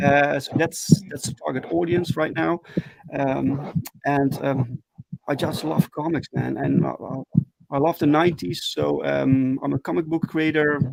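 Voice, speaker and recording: A man with a Dutch accent speaks at a fairly slow pace with fairly even intonation, in a dry, close sound with no echo. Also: fairly high pitch for a man. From Netherlands. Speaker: comic book creator. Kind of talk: interview. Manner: halting, many fillers.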